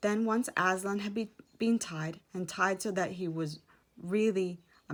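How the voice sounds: The speaker reads in a natural voice. Pitch rises and falls in an ordinary way.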